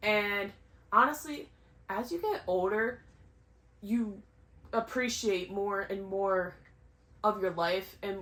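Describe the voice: Speaking at a slow pace with long, frequent pauses, a woman has a fairly bright tone.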